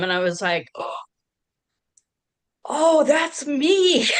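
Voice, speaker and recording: A woman at a fairly slow pace. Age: 60s. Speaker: panelist. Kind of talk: testimony. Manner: halting.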